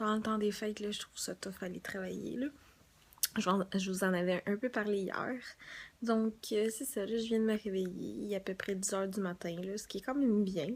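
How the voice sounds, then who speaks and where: A speaker with a Quebec accent. The intonation stays fairly even. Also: woman, medium pitch for a woman, moderate pace. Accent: Québécois French. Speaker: beauty vlogger. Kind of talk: casual vlog.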